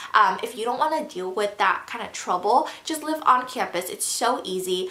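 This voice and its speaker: Noticeable background noise accompanies a woman speaking at a moderate pace. Her fairly high voice has lively intonation. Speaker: YouTuber and college student. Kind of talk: casual Q&A vlog. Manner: casual, filler-heavy with um.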